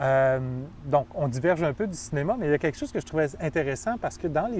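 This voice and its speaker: A man with a Quebec accent talks at a fairly high pitch with lively intonation. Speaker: film professor. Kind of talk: interview conversation.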